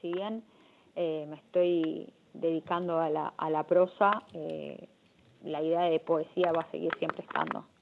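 In an unremarkable speaking voice, a woman talks at a fairly low pitch and fairly slow pace, her intonation fairly even but her loudness swinging widely. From Argentina. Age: 30s. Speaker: writer and literature teacher. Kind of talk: interview. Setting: phone call.

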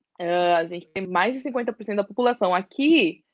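A woman's lively, fairly slow delivery in a medium pitch, a normal speaking voice. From East Zone of São Paulo, Brazil. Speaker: social worker and activist. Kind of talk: interview.

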